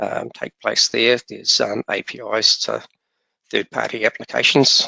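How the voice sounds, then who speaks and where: The pace is moderate. A man talks in a New Zealand accent. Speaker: software vendor presenter. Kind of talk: webinar presentation. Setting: webinar. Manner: hesitant, many fillers.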